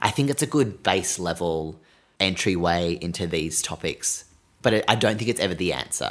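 Speaking with an Australian accent, a man has a very deep, low pitch and lively intonation at a moderate pace. The recording is very clean and the background silent. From Australia, Sydney. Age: 20s. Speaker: podcast host. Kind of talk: casual chat.

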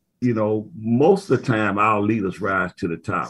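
Against a quiet background, a man talks at a fairly slow pace in a normal speaking voice. His pitch is fairly low and his intonation fairly even. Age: 60s. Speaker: university band director. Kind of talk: interview.

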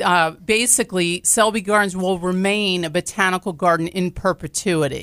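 In a very clean recording with a silent background and a dry, close sound with no echo, a woman speaks at a medium pitch in a bright, sharp tone, with ordinary pitch variation at a moderate pace. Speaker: botanical garden president and CEO. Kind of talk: interview. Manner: loud, boisterous, talkative.

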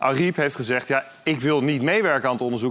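A man speaks at a medium pitch. Noticeable background noise can be heard. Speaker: political reporter. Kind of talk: casual panel discussion.

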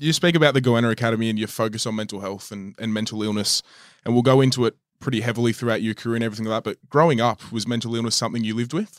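A man with an Australian accent talks at a very fast pace, his medium-pitched voice following fairly even intonation. The sound is dry and close with no echo, in a very clean recording with a silent background. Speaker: podcast host. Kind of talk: interview.

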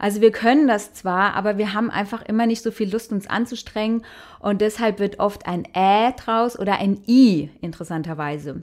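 In a Hessian accent, a woman of medium pitch talks at a fairly slow pace with ordinary pitch variation. She takes hardly any pauses. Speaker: musician. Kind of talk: interview.

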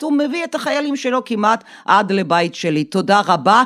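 Pitch swings very widely as the words come at a fairly slow pace. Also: woman. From Soviet Union. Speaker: Russia expert. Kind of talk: interview.

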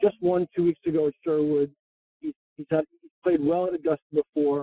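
A plain, everyday voice from a man at a moderate pace, fairly high for a man. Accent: American. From New York (Long Island). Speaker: golf instructor. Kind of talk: casual interview chat. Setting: in a car.

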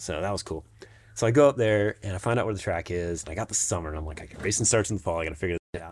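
At a very fast pace, a man with an American accent talks in a very deep, low pitch with ordinary pitch variation. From Jacksonville, Florida. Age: 40s. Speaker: mountain bike racer. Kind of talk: casual interview.

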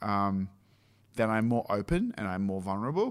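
This man talks at a moderate pace. He has an Australian accent. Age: 30s. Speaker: film director. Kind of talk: casual chat. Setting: office used as makeshift studio.

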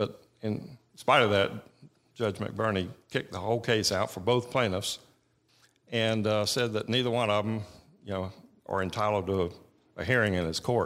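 With a Georgia accent, a man talks at a moderate pace and fairly low pitch, using fairly even intonation and long, frequent pauses, on a very clean recording with a silent background. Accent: Southern American (Georgia). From Georgia, US South. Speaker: attorney. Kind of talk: radio interview.

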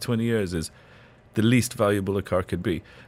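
A man uses a normal speaking voice, talking fairly quickly at a fairly low pitch with ordinary pitch variation. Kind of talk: call-in advice on a radio show. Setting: studio. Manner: warm, chatty.

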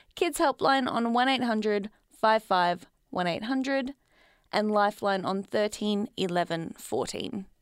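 Here a woman speaks in an Australian accent at a fairly slow pace. Her ordinary pitch variation comes through with a dry, close sound with no echo. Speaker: community radio host. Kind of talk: solo podcast monologue. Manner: laughs often, animated.

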